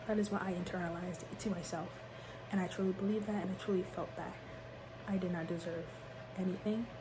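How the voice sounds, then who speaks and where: A soft-spoken woman at medium pitch, very fast yet with long, frequent pauses, monotone and flat, amid audible room echo and noticeable background noise. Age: young. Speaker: vlogger. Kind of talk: personal testimony. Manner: halting.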